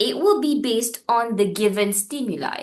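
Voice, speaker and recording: With vocal fry and a fairly high pitch, a woman speaks at a fairly slow pace. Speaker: teacher. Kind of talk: mock teaching lesson.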